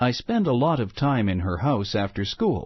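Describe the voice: The speaker offers plain reading aloud.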